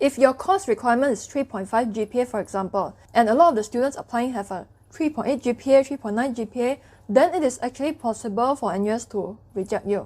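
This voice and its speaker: A woman speaks at a very fast pace with a Cantonese accent. Her pitch is high, with ordinary pitch variation. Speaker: education youtuber. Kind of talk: tutorial. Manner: casual.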